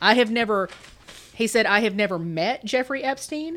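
A woman with an unremarkable speaking voice talks at a moderate pace, her intonation lively. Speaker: podcast host. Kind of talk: casual chat. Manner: casual, laughs often.

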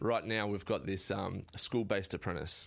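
Recorded very cleanly against a silent background, a man with an Australian accent speaks in a fairly low pitch. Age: 30s. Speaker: carpenter and builder. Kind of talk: casual interview chat. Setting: studio.

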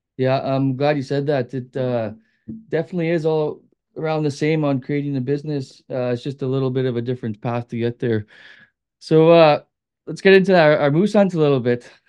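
An unremarkable speaking voice belonging to a man with a Canadian accent comes at a fairly high pitch and fairly quick pace, with ordinary pitch variation over a quiet background. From Manitoba, Canada. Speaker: hunting and fishing guide. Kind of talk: casual interview.

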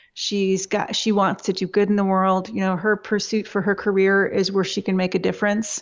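A woman talks in an Upper Midwest accent at a fairly quick pace. Her medium-pitched voice stays monotone and flat. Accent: Upper Midwest American. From Michigan, US. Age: 40s. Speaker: web agency owner. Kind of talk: interview.

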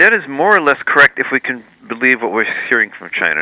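A man's voice, dry and close with no echo, ordinary pitch variation, and noticeable background noise. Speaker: historian and author. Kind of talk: interview on current affairs. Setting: remote call from Israel.

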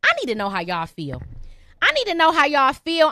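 A raised, projected voice with a bright, sharp tone and an animated delivery moves through very wide pitch swings, recorded in a dry, close sound with no echo. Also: woman. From Detroit, Michigan. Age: 30s. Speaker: comedian and podcast host. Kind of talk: live call-in podcast monologue.

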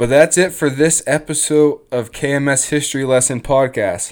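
This man has an unremarkable speaking voice, a fairly high pitch and ordinary pitch variation. He speaks at a moderate pace on a very clean recording with a silent background. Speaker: podcast host. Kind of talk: scripted-style podcast narration.

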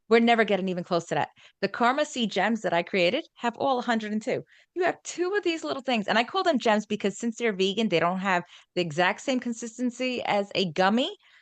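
A woman with a New York accent speaks at a very fast pace, her fairly high voice making very wide pitch swings. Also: dry, close sound with no echo, quiet background. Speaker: wellness coach and speaker. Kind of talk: casual interview chat.

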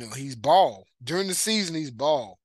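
Against a quiet background, the speaker uses an American accent, a moderate pace and lively intonation. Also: man. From East Texas (Marshall). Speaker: sports podcast host. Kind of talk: solo sports commentary. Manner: casual, many fillers (uh).

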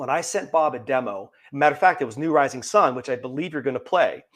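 A man with an American accent, fairly high pitch and lively intonation. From western Pennsylvania, near Pittsburgh. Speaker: singer-songwriter. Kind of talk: casual interview chat.

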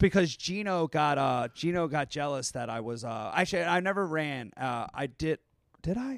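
Speaking at a moderate pace, a man with a normal speaking voice and a fairly high pitch comes through on a very clean recording with a silent background. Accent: American. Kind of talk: casual chat. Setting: live show with audience.

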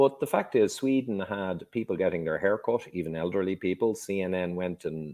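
This man speaks in an Irish accent. His pace is moderate. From Ireland. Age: 50s. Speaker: engineer and health author. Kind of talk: podcast interview.

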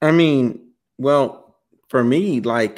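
With fairly even intonation and a medium pitch, a man speaks in an unremarkable speaking voice, recorded very cleanly against a silent background. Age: 20s. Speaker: podcast host. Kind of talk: casual chat.

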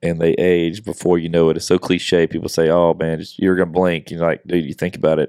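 A man with a very deep, low pitch talks in a monotone, flat way with hardly any pauses. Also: fairly quick pace. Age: 40s. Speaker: podcast co-host. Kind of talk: casual chat. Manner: casual, relaxed.

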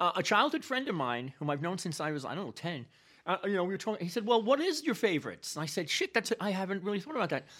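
In a New York accent, this voice rushes at a very fast pace on a very clean recording with a silent background. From New York City, South Bronx. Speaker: history professor. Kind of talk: casual chat.

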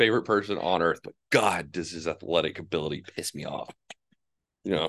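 With a very deep, low pitch, a man talks in an animated tone at a fairly quick pace, his loudness swinging widely and his pitch varying in an ordinary way, in a dry, close sound with no echo. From New Mexico. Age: 20s. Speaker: college baseball pitcher. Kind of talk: casual chat.

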